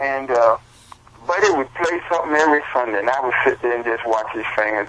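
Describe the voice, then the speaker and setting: Lively intonation marks a man's speech in an American accent, with noticeable background noise behind him. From US South, Columbia, South Carolina. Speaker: blues musician. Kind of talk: interview storytelling.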